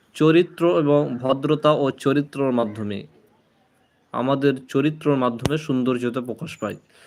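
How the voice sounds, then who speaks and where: With fairly even intonation, a man uses an ordinary speaking voice at a fairly high pitch. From Murshidabad, West Bengal, India. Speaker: livestreamer giving Islamic talk. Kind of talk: live stream religious talk. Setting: live stream.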